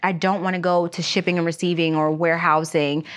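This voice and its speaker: A woman's unremarkable speaking voice at medium pitch, fairly quick pace, quiet background. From Pennsylvania, Erie area and outside Philadelphia. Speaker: aerospace freight broker and logistics business partner. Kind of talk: interview, casual chat.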